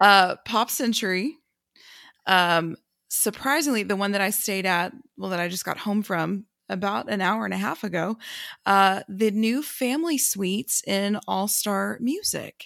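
Recorded very cleanly against a silent background, a woman with an unremarkable speaking voice speaks at a fairly slow pace with lively intonation. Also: medium pitch for a woman. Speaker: runner. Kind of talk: casual chat.

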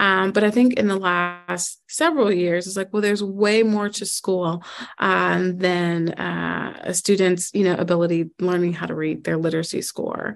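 A woman with an unremarkable speaking voice and an American accent talks at a moderate pace with hardly any pauses, her fairly low pitch held to fairly even intonation against a quiet background. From US Midwest, Chicago. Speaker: school network president, former math teacher. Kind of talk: interview.

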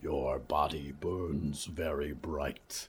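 In a put-on character voice, the speaker growls and rumbles at a very slow pace with fairly even intonation. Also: man, extremely low pitch for a man.

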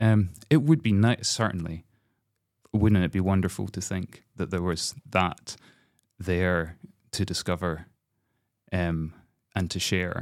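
Against a very clean, silent background, a man with a Scottish accent speaks at a very slow pace with long, frequent pauses, a very deep, low pitch and ordinary pitch variation. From Scotland, Glasgow. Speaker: composer. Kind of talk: interview conversation. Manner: halting.

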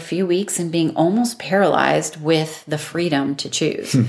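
Her voice is a normal speaking voice, fairly low in pitch. The woman talks at a moderate pace with lively intonation. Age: 40s. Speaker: relationship coach. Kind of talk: casual chat.

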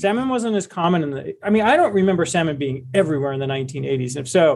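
A man's high voice in a Midwestern American accent, very fast, with very wide pitch swings. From Cleveland, Ohio. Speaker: investment advisor and author. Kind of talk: casual interview.

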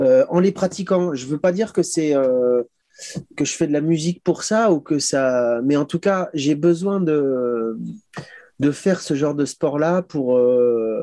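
With long, frequent pauses and a very slow pace, a man speaks at a fairly high pitch in a dark, mellow tone with lively intonation, the sound dry and close with no echo. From eastern France, Épinal. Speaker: electronic musician. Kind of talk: interview. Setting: video call from his boat.

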